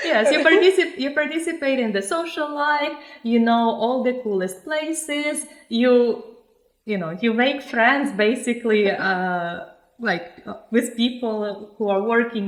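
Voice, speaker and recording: A woman's fairly high voice with lively intonation at a moderate pace, in audible room echo. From Ukraine. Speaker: podcast host. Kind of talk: casual interview. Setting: on location in Milan.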